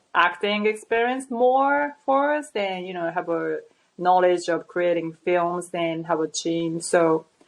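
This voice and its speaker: A woman's speech in a non-native accent, fairly slow in pace. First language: not English. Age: 30s. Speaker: model and actress. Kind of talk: interview conversation. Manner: halting, with many restarts.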